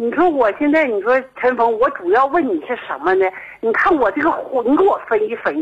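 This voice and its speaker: Noticeable background noise runs under a woman's high voice. She speaks at a moderate pace with very wide pitch swings. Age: 50s. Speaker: radio call-in listener. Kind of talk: phone-in confiding personal problem. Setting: phone call.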